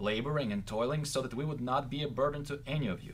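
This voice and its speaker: A man's somewhat breathy voice at a fairly quick pace and medium pitch. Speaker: co-host reading scripture. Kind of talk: reading aloud.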